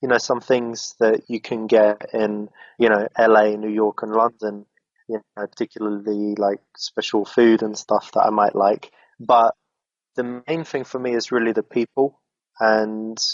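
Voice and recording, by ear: The man's voice is fairly low, with little pitch movement. He talks at a fairly slow pace in a dry, close sound with no echo.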